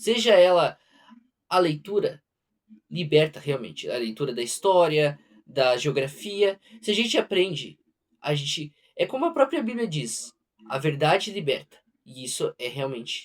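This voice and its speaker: In a strong southern Brazilian accent, a man with a fairly high pitch talks at a fairly slow pace, taking long, frequent pauses and using very wide pitch swings. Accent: heavy southern Brazilian. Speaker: book reader, channel owner. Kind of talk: casual talk to camera; reading aloud. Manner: halting, self-correcting.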